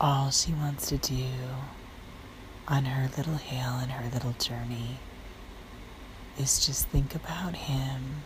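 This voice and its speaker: A woman speaks at a very slow pace in a very deep, low voice, with flat, monotone intonation, long and frequent pauses, and noticeable background noise. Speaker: fitness trainer. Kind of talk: bedtime story. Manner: whispered, soft.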